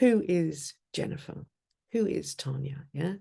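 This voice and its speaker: A woman with a dark, mellow tone and fairly low pitch speaks very slowly, somewhat breathy, with lively intonation. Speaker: life coach. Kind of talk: workshop.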